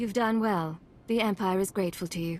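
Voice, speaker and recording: A woman uses a put-on character voice with a confident tone, medium pitch and fairly even intonation. She talks at a fairly quick pace over clear background noise. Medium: video game. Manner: dry, confident.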